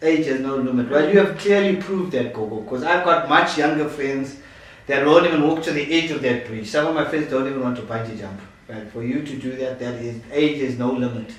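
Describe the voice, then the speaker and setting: A man talks at a fairly quick pace in a fairly high pitch, animated in tone, with ordinary pitch variation, big swings in loudness, noticeable background noise and audible room echo. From Zimbabwe. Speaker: YouTube channel host. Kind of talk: interview. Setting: at the host's home.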